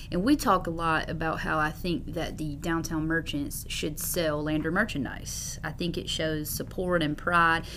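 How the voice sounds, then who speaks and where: She speaks with an American accent at a moderate pace and a fairly low pitch. Room echo is audible. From US South. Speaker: city manager. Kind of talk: interview.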